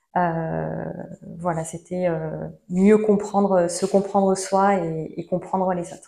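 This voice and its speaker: A woman at a medium pitch, very slow, with fairly even intonation and a dark, mellow tone. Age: 30s. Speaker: seminar participant. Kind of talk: testimony. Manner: halting.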